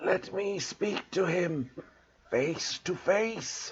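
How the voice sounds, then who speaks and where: A man whispers very slowly in a raspy, put-on character voice. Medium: read story. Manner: cold, menacing.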